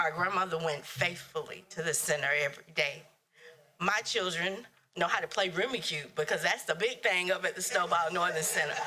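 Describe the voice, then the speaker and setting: With a North Carolina accent, a woman speaks at a fairly quick pace in a fairly low pitch, with ordinary pitch variation and very even loudness. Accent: North Carolina Southern US. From US South. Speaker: public commenter. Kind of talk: public comment at meeting. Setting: county board meeting.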